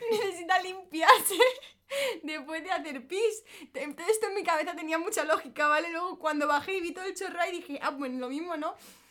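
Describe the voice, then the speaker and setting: A raised, projected voice moves at a fairly quick pace with big swings in loudness. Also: woman, extremely high pitch for a woman, ordinary pitch variation. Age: 20s. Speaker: influencer. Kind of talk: casual chat.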